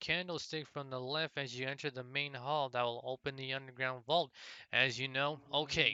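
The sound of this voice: Unforced reading voice only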